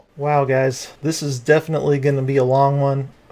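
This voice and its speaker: A man talks at a fairly slow pace. His pitch is fairly high. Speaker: gaming YouTuber. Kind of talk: tutorial. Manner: monotone.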